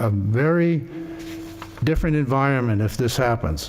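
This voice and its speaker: A man talks at a moderate pace and a medium pitch, with ordinary pitch variation. Noticeable background noise can be heard. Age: 80s+. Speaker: resident speaking at public hearing. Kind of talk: public testimony at zoning hearing. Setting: town board meeting room. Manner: halting with repetitions.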